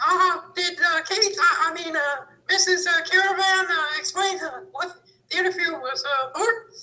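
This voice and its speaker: Someone puts on a character voice at an extremely high pitch and speaks at a moderate pace. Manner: stammering, hesitant.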